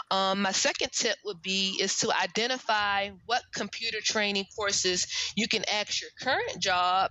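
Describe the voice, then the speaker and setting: With an American accent, this speaker keeps a fairly even intonation at a moderate pace while noticeable background noise plays underneath. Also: woman. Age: 30s. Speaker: career coach. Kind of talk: casual interview.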